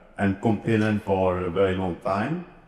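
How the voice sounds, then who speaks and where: The voice comes with a French accent. Room echo is audible. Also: man. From France. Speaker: author and speaker. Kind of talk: conference presentation. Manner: halting, frequent uhs.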